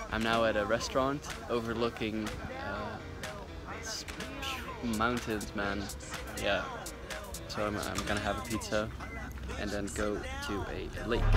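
Over clear background music, a man talks at a fairly slow pace with long, frequent pauses, and the sound is dry with no echo. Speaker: travel vlogger. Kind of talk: casual vlog chat. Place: open country. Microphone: phone near.

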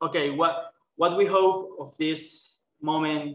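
A man's fairly high voice with a Spanish accent, very slow pace, and audible room echo. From Colombia. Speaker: human rights worker. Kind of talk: webinar presentation. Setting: video call. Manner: halting. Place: office. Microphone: headset.

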